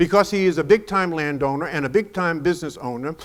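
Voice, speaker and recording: On a very clean recording with a silent background, a man with an American accent speaks at a high pitch with lively intonation. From New York. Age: 70s. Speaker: motivational speaker. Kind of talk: keynote speech. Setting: stage with audience. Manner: emphatic, repetitive.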